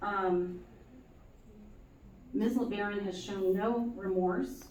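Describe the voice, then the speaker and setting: Recorded with audible room echo and noticeable background noise, a woman speaks at medium pitch with ordinary pitch variation. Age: 60s. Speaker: city council member, petitioner in court. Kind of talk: courtroom testimony. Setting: courtroom. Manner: halting, many fillers.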